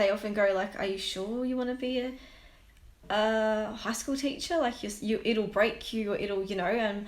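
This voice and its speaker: Soft-spoken and at a moderate pace, a woman with a fairly high pitch keeps her intonation fairly even in audible room echo. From New Zealand (Christchurch). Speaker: high school teacher. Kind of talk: casual chat.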